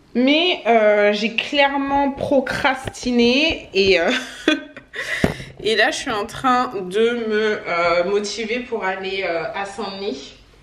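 A woman's fairly high, fairly bright voice at a slow pace, with ordinary pitch variation and strong room echo

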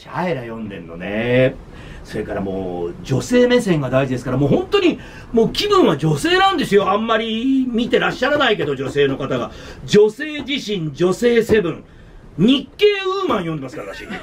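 Speaking at a moderate pace, a man uses an animated tone with big swings in loudness. Light background noise is present. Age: 60s. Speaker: radio announcer. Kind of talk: casual chat. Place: office.

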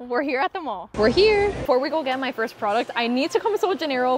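A woman speaks at a high pitch and a fairly quick pace. Noticeable background noise runs underneath. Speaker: shopping vlogger. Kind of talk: casual vlog chat. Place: shop. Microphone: lapel.

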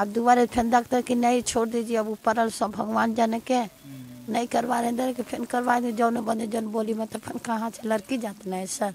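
A woman's fairly high voice, flat and monotone, with a dry, echo-free sound and light background noise. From Bihar. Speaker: wife of interviewee; interviewee. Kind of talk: testimony. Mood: earnest, pleading. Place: street. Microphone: handheld.

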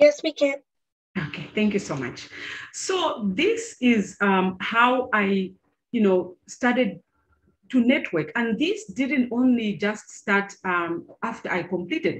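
Speaking at a very slow pace, a woman with a fairly high, somewhat breathy voice makes very wide pitch swings. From Zambia. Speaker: engineer; presenter. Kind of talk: presentation. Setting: video call. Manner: hesitant, many fillers. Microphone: video call.

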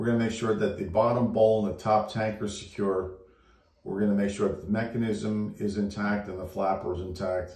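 A man speaks with a fairly low, somewhat breathy voice. Room echo is audible around him. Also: quiet background. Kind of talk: tutorial. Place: bathroom. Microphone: phone near.

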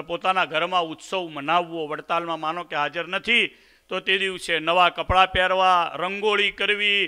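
Against a quiet background, a man talks in a high pitch. His intonation is fairly even. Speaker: speaker. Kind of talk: religious address. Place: stage. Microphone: podium.

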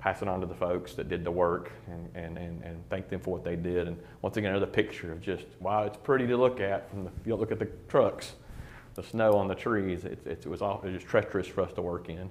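With fairly even intonation, a man speaks at a fairly quick pace in a low pitch and a slightly mellow tone.

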